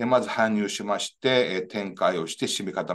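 Vocal fry runs through this man's voice. He talks fairly slowly. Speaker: engineering professor. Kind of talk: lecture. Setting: video call. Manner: formal. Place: office. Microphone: webcam.

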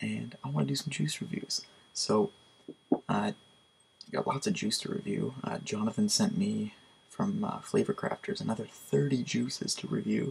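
Quietly, a man speaks at a fairly quick pace. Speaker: product reviewer. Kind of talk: casual product review. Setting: at home at night. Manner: quiet, hushed. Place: home room. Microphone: webcam.

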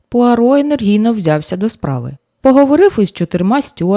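The voice is reading aloud in a natural voice. The background is quiet.

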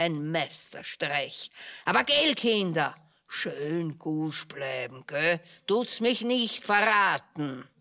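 A woman puts on a cartoonish character voice, fairly low in pitch, and speaks at a very slow pace. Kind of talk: theatrical puppet show monologue. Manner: gloating, conspiratorial.

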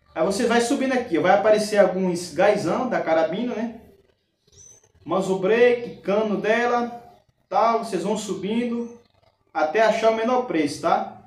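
A man's high voice at a moderate pace with ordinary pitch variation and long, frequent pauses, amid audible room echo. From Brazil. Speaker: YouTube airgun reviewer and raffle organizer. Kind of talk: street-seller style sales pitch, pushing a bargain and a raffle. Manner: emphatic, salesman-like, reassuring the buyer. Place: home room.

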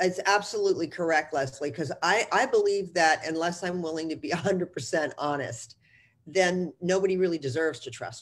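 Speaking at a moderate pace with a fairly low pitch and ordinary pitch variation, a woman with an American accent shows big swings in loudness. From US Northeast, New Jersey. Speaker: real estate executive and mentor; guest. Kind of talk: interview. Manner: blunt. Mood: warm, reflective. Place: home room. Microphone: video call.

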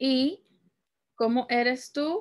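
The setting is quiet. A woman talks at a very slow pace. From Peru (Lima). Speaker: Spanish teacher. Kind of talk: language lesson tutorial. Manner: slow, repetitive teaching delivery. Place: home room.

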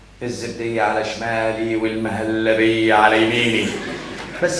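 A man speaks at a fairly slow pace, with audible room echo and light background noise. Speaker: stage actor. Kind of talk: comic theatrical monologue. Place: stage.

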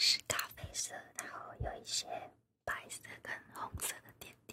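Someone whispers here. The delivery moves fairly slowly. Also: woman. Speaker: craft vlogger. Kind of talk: ASMR whisper-style casual demonstration narration. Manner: soft, whispery. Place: office.

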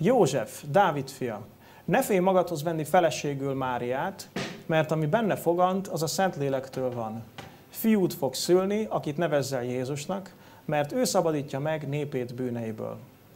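With music in the background, the speaker goes at a fairly slow pace with lively intonation. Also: man. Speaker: preacher. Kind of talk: sermon. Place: church.

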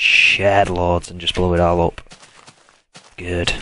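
At a moderate pace, a man speaks in a very deep, low voice with monotone, flat intonation. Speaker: gaming YouTuber. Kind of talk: let's play commentary.

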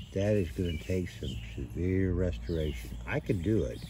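Very deep and low, a man's voice carries a dark, mellow tone and vocal fry, moving at a moderate pace through very wide pitch swings. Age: 60s. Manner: relaxed, chatty.

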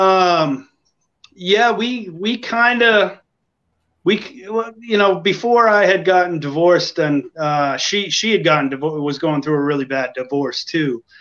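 With an American accent, a man speaks at a high pitch and a fairly slow pace. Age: 40s. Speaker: country-rock singer-songwriter. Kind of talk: casual interview. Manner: halting.

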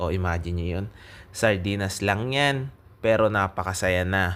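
Pitched very deep and low, a man speaks at a moderate pace. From Philippines. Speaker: vlogger, overseas Filipino worker; vlogger. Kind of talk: casual vlog talk to camera. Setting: restaurant. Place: cafe. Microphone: phone near.

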